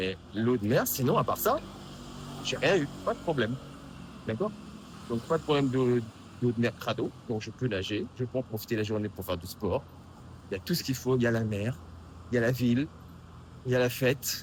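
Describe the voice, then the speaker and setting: A man speaks at a moderate pace and medium pitch, somewhat breathy. He leaves long, frequent pauses and uses ordinary pitch variation. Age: 50s. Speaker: vlogger and app developer. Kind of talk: casual vlog. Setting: outdoors on street at night. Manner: casual, hesitant.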